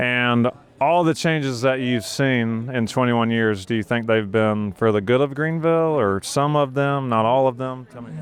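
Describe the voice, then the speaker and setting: With an American accent, a man talks at a moderate pace and medium pitch, using ordinary pitch variation and hardly any pauses. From South Carolina, Saluda (middle of the state). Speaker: real estate agent and video host. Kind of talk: street interviews. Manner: little mouth movement.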